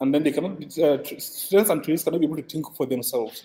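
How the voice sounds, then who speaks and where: A man speaks at a fairly high pitch. His pitch varies in an ordinary way. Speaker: lecturer. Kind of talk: lecture. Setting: classroom with online participants. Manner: fast; loud.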